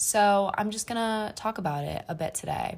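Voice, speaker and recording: Here is an ordinary speaking voice from a woman. She talks fairly slowly with ordinary pitch variation. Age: 20s. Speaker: solo podcaster, college student. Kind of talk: casual monologue. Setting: apartment bedroom.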